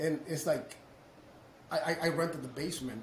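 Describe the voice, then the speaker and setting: Speaking at a fairly quick pace with a Mexican accent, a man uses a fairly high pitch and ordinary pitch variation, with audible room echo and noticeable background noise. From Mexico. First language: Spanish. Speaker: roofing business owner, entrepreneur. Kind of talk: casual interview storytelling. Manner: animated, with repetitions and false starts.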